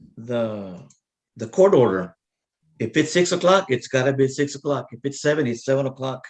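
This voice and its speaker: Speaking with an American accent at a fairly quick pace, a man has an unremarkable speaking voice, a medium pitch and ordinary pitch variation. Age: 60s. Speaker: judge. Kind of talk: court hearing. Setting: video call.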